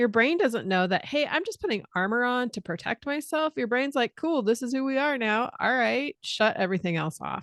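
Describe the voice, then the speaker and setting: A woman's high voice with a General American accent and very wide pitch swings, at a moderate pace, dry and close with no echo against a quiet background. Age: 40s. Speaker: musician and reinvention coach. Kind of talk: casual podcast conversation.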